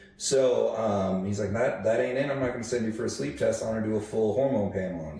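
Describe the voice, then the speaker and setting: Talking at a very fast pace with hardly any pauses, a man of medium pitch shows ordinary pitch variation amid noticeable background noise. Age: 30s. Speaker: podcast co-host. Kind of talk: casual chat.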